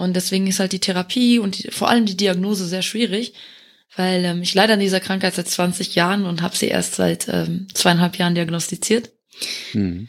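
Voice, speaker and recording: A woman's plain, everyday voice at medium pitch, moderate pace and fairly even intonation, on a very clean recording with a silent background. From Luxembourg. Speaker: community manager. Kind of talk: casual interview.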